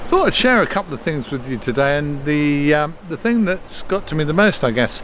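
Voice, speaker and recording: Over noticeable background noise, a man with a British accent speaks at a fairly high pitch with lively intonation. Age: 70s. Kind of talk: casual talk to camera. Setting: outdoors.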